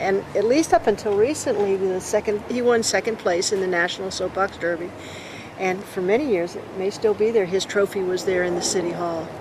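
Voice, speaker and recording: A woman at a medium pitch and fairly quick pace, ordinary pitch variation, noticeable background noise. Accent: American. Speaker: longtime resident interviewed for oral history. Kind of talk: oral history interview.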